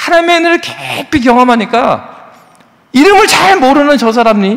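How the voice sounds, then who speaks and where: Over noticeable background noise, a man speaks in an animated tone at a moderate pace, his pitch swinging very widely. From South Korea, South Jeolla (Yeonggwang, Gwangju). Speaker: pastor. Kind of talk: sermon. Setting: church. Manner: animated, conversational.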